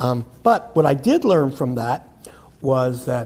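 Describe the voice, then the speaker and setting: A man with an American accent speaks at a fairly slow pace in a somewhat breathy, dark, mellow tone at medium pitch with ordinary pitch variation. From US Northeast, Philadelphia. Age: 70s. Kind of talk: interview storytelling before audience.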